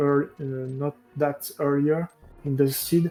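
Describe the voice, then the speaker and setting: Music plays in the background as a man talks at a very slow pace. His fairly high pitch keeps a fairly even intonation. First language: not English. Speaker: esports racer. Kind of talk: post-match interview. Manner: halting.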